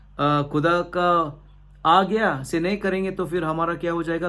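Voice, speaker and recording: A man with a high pitch talks amid audible room echo. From India, Goa. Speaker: pastor. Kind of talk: sermon. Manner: halting, frequent fillers and restarts.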